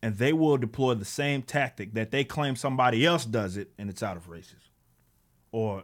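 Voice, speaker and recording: Animated in tone, a man with an American accent speaks at a moderate pace with ordinary pitch variation. The background is quiet. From Texas. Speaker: political commentator and comic book creator; political commentator, comic book creator. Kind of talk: political rant monologue. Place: home room. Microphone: studio mic.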